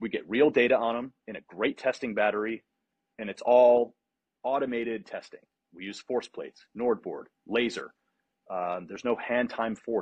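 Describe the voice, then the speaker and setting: A man talks at a moderate pace and medium pitch. His intonation is fairly even, broken by long, frequent pauses. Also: big swings in loudness. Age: 30s. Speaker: sports scientist. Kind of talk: casual interview.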